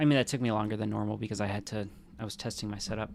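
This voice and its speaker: A man with an American accent talks at a fairly quick pace. His fairly low voice carries vocal fry. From rural US. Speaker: gaming streamer. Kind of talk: casual live-stream commentary.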